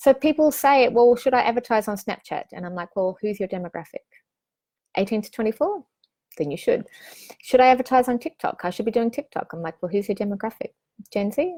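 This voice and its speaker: A woman speaks at a fairly quick pace with a fairly high pitch and lively intonation. Her tone is dark and mellow, her loudness swings widely, and the sound is dry and close with no echo. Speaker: online business coach. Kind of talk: live-streamed course session. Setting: live stream. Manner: fast; animated.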